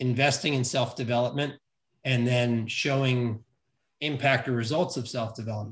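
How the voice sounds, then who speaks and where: Somewhat breathy, a man with an American accent talks at a medium pitch and moderate pace in a monotone, flat intonation. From New York City. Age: 50s. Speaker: leadership coach. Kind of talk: casual interview.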